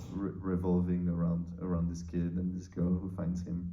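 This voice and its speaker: In a French accent, a man with a very deep, low pitch and a dark, mellow tone speaks in a flat monotone, with audible room echo. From France. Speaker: film co-writer and producer. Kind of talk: interview. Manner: halting, many fillers.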